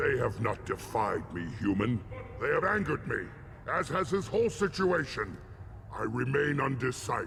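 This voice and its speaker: A man speaks in a put-on character voice at a medium pitch. Clear background noise can be heard. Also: moderate pace. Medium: video game. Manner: gruff, commanding.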